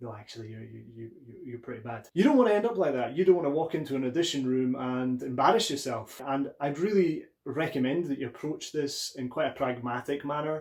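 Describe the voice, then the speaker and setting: A man with a strong Scottish accent talks at a fairly quick pace in a fairly high pitch, with ordinary pitch variation and big swings in loudness. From Scotland, Aberdeen (northeast). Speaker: actor and acting coach. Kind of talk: tutorial.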